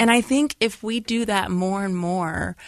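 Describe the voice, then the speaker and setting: In an ordinary speaking voice, a woman talks at a fairly slow pace with ordinary pitch variation, her sound dry and close with no echo against a quiet background. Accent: American. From Lorain, Ohio (near Cleveland). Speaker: educator and school founder. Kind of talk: casual interview conversation.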